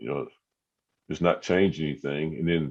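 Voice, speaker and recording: A man's voice sits at a very deep, low pitch. His intonation stays fairly even. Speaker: podcaster. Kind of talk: casual chat. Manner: halting, many fillers.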